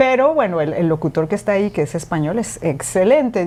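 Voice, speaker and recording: Noticeable background noise sits behind a woman's voice. She talks at a fairly quick pace with lively intonation. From Mexico. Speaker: radio presenter and podcaster. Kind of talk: interview conversation.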